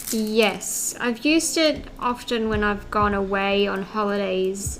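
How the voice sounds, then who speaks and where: Audible room echo surrounds a woman speaking at a very slow pace and medium pitch, with ordinary pitch variation. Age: 30s. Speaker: craft live streamer. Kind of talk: casual chat. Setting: studio.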